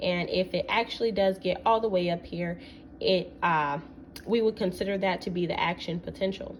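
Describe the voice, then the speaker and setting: A woman at a moderate pace, medium-pitched, with ordinary pitch variation. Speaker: student presenter. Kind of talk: class presentation explaining a topic. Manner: hesitant, with fillers.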